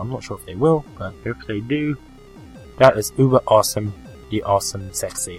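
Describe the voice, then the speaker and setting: With music playing behind him, a man speaks with ordinary pitch variation. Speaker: podcast host. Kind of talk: casual podcast talk.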